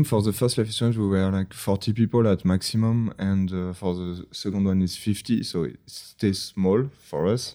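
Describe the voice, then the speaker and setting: In a French accent, the speaker's dark, mellow tone runs on with hardly any pauses, captured on a very clean recording with a silent background. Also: man. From France. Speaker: video game creative director. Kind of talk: casual interview. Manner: halting, many fillers.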